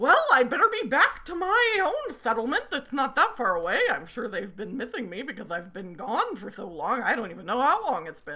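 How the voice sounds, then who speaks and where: A woman uses a put-on character voice, high in pitch, with hardly any pauses and light background noise. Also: moderate pace. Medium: actual play. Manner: rambling, spacey.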